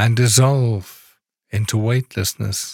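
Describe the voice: A man talks at a very slow pace in a somewhat breathy voice. The sound is dry and close, with no echo.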